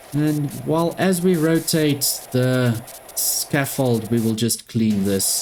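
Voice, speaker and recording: Lively intonation in a South African accent. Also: woman. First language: Afrikaans. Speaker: gaming YouTuber. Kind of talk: let's play gameplay commentary.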